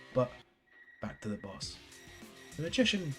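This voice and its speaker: Music is playing in the background. Over it, a man speaks at a fairly quick pace. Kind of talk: video game review narration. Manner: casual.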